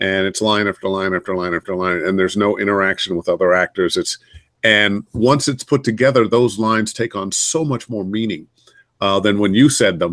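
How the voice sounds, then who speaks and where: In an ordinary speaking voice, a man delivers his words at a moderate pace. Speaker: voice actor. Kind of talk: interview answer.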